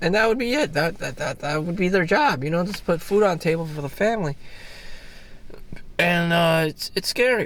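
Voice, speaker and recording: A man speaks at a moderate pace in a high voice with ordinary pitch variation, with noticeable background noise. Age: 40s. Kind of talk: casual talk to camera. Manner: rambling, hesitant.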